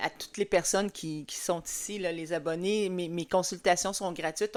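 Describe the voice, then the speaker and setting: At a fairly slow pace, a woman with a medium pitch speaks in fairly even intonation on a very clean recording with a silent background. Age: 60s. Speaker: skincare consultant. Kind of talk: tutorial. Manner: halting, many fillers.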